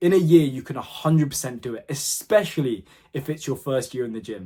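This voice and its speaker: An animated man with a fairly high pitch, ordinary pitch variation, a somewhat breathy edge and a fairly quick pace. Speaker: fitness content creator. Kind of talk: motivational talk to camera. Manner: fast.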